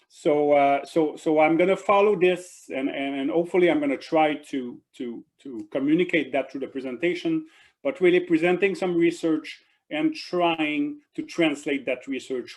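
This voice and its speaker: This man speaks at a moderate pace. His voice sits fairly high, with ordinary pitch variation. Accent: French. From Quebec, Canada. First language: French. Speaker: professor. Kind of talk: lecture. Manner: halting, many fillers and repeats.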